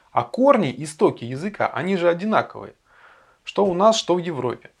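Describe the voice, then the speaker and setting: Against a quiet background, a man talks at a moderate pace. His pitch is high and swings very widely. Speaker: educational video presenter. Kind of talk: scripted narration.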